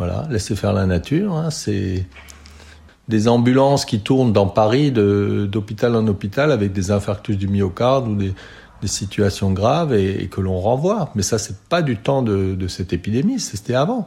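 A man's fairly low, dark and mellow voice, somewhat breathy, with ordinary pitch variation and a fairly slow pace. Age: 60s. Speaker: retired doctor in a care home. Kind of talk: testimony. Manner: halting, many repetitions and fillers.

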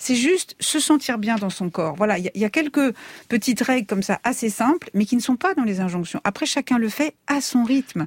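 A woman with a fairly high pitch and very wide pitch swings at a moderate pace, in a dry, close sound with no echo. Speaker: beauty consultant and author. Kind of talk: radio panel discussion.

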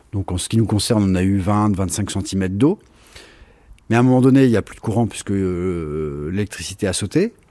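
In a dark, mellow tone, the man delivers his words at a moderate pace. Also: fairly low pitch for a man, ordinary pitch variation. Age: 50s. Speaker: flood victim. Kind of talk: testimony.

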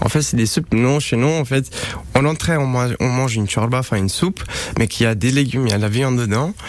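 Over noticeable background noise, a man talks very fast with very even loudness and ordinary pitch variation. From Romania. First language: Romanian (speaking French). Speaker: chef. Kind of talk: radio interview. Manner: halting.

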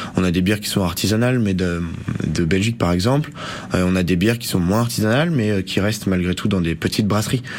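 Very fast speech from a man at fairly low pitch with ordinary pitch variation, over noticeable background noise. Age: 20s. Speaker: bar owner. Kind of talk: radio interview. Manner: halting.

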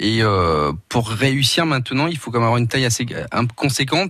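A man speaks at a medium pitch and a very fast pace. Noticeable noise sits in the background. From Portugal. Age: 40s. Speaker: founder of a senior housing platform. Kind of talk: radio interview. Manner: hesitant, many fillers.

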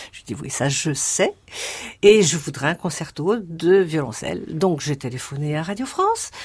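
A woman's very deep, low-pitched, somewhat breathy voice with lively intonation at a moderate pace. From Morocco (Casablanca), then Paris from age 10. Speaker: composer. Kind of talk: interview.

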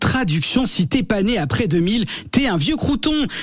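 A man's high-pitched voice with very wide pitch swings, fairly slow, over noticeable background noise. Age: 30s. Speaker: radio humor columnist. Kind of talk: scripted comic radio segment. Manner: animated.

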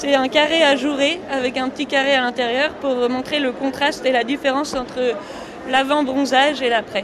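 A high-pitched woman's voice in a flat monotone, with audible room echo and noticeable background noise. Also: moderate pace. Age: young. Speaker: designer and inventor. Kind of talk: radio interview.

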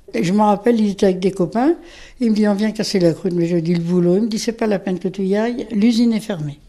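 A woman talks at a very fast pace in a dark, mellow tone. Her pitch is medium, with ordinary pitch variation. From France, Auvergne (Saint-Saturnin near Clermont-Ferrand). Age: 80s+. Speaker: retired factory worker. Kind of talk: interview testimony. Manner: conversational, hesitant.

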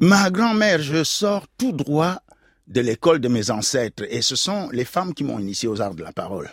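Pitched fairly high, a man's voice makes very wide swings up and down. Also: moderate pace, dry, close sound with no echo. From Cameroon, Douala. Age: old. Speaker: storyteller. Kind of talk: storytelling performance. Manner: animated.

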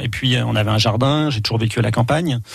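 A man talks at a fairly quick pace with a medium pitch and ordinary pitch variation. Noticeable background noise runs under his voice. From France, Loiret then Brittany (Morbihan). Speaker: wildlife photographer. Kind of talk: radio interview. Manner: halting, many repetitions.

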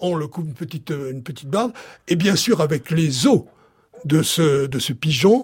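A man speaks high in pitch, his intonation lively. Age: 80s+. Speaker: chef and cooking author. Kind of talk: casual chat.

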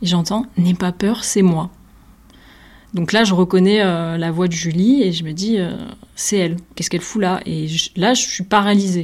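Long, frequent pauses break up speech with fairly even intonation. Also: woman, medium pitch for a woman, moderate pace. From southern France, Nîmes. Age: 20s. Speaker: visual artist. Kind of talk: personal testimony.

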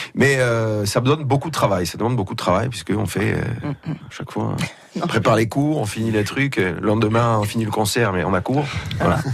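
Over noticeable background noise, a man with a medium pitch speaks at a fairly quick pace with ordinary pitch variation. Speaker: rock band musician. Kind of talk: casual interview chat.

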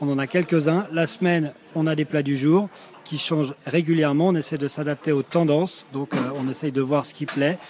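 There is noticeable background noise as a man talks at a moderate pace. His voice is fairly high, and his intonation fairly even. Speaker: restaurant manager. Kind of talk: interview on location. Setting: on a restaurant terrace.

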